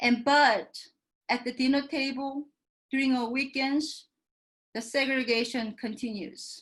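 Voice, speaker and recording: With a Korean accent, a woman speaks fairly slowly in a high pitch and fairly even intonation. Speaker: professor. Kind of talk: panel talk.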